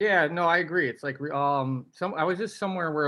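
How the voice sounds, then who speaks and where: Mumbling with ordinary pitch variation, a man is heard on a very clean recording with a silent background. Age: 30s. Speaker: retired hockey player, podcast co-host. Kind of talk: casual chat.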